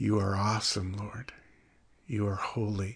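A warm, somewhat breathy voice at a very slow pace over a quiet background. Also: man. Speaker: devotional show host. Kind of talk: devotional talk and closing prayer. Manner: warm, conversational, laughs often.

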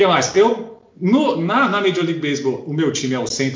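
Audible room echo carries a man's fairly high-pitched voice and lively intonation. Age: 40s. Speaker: podcast co-host, lawyer. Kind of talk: casual chat.

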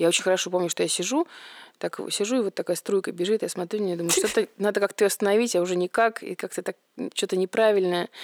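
At a very fast pace, a woman at a medium pitch talks with fairly even intonation in a dry, close sound with no echo. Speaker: restoration business owner. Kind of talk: casual chat.

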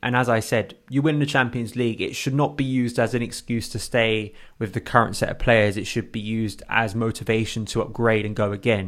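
A man with a plain, everyday voice speaks at medium pitch and a fairly quick pace, his intonation fairly even, in a very clean recording with a silent background. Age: 20s. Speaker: football podcast co-host. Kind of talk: casual chat.

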